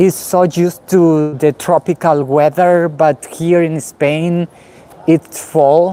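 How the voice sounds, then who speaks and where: This speaker talks with a Spanish accent at a very slow pace. Noticeable background noise runs underneath. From Guatemala. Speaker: vlogger. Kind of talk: live stream walking vlog. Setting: outdoors, walking in city. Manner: halting, many fillers.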